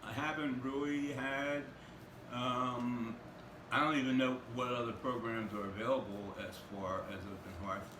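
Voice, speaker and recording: A man speaks fairly slowly at a medium pitch with ordinary pitch variation. Audible room echo and noticeable background noise are present. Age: 60s. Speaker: housing program client. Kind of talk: interview. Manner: halting.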